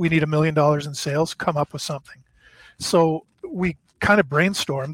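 Speaking at a fairly quick pace with a Canadian accent, a man has a fairly high pitch, fairly even intonation and an unremarkable speaking voice. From Canada, eastern Ontario. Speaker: former card company executive. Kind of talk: interview, storytelling.

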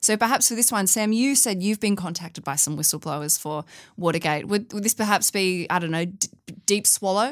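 A woman with an Australian accent speaks at a fairly quick pace and medium pitch, her intonation lively. The recording is very clean, with a silent background. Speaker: podcast host. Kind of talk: casual banter podcast. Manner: joking.

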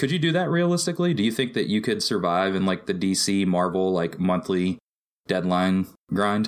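An ordinary speaking voice from a man, fairly low in pitch with ordinary variation, at a moderate pace and very even loudness. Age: 20s. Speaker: comic artist. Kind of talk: casual chat.

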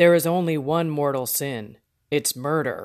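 Someone speaks at a moderate pace in a put-on character voice. The recording is very clean, with a silent background. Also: man. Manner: stern.

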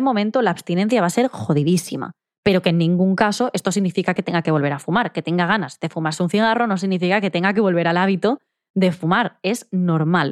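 A woman at medium pitch, very fast, with ordinary pitch variation and very even loudness, in a very clean recording with a silent background and a dry, close sound with no echo. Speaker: psychologist and podcast host. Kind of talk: solo advice monologue. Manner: direct.

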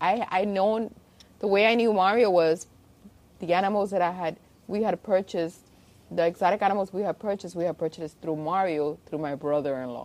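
A fairly quick pace paired with ordinary pitch variation. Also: woman, medium pitch for a woman. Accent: Spanish. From Spain, after early years in Cuba. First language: Spanish. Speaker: zoo director. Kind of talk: interview. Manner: halting, repetitive.

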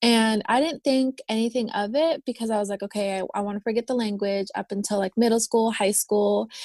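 With an American accent and hardly any pauses, a woman speaks at a fairly high pitch with fairly even intonation, the sound dry and close with no echo. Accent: general American (left Philippines at four). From Philippines, raised in California Bay Area. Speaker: crystal shop owner and entrepreneur. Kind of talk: casual interview conversation.

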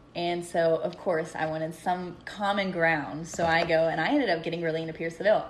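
Noticeable background noise sits behind this recording. A woman with a fairly low pitch speaks at a fairly quick pace. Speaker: guest. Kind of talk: casual chat.

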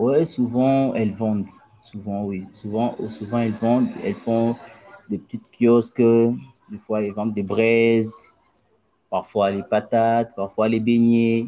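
Speaking very slowly in a Congolese accent, a man keeps a medium pitch and fairly even intonation. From DR Congo, Mbuji-Mayi. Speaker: aspiring footballer and former student. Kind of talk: interview. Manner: halting, with many repetitions.

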